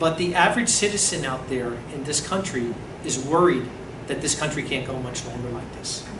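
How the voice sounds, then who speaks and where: Amid noticeable background noise and audible room echo, a woman with an American accent talks at a moderate pace, her pitch swinging very widely. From US Northeast, New Jersey area. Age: 60s. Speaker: preacher. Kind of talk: sermon.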